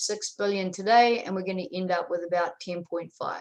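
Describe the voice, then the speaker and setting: A woman with a New Zealand accent and fairly even intonation, against a quiet background. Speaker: dairy specialist. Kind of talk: webinar presentation. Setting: online webinar. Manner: hesitant, many fillers.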